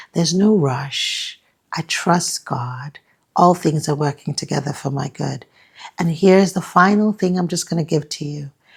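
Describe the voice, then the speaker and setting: Slightly airy, this voice keeps a middling speed while its pitch shifts in a normal manner. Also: woman, fairly low pitch for a woman. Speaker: women's life coach. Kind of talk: motivational talk to camera.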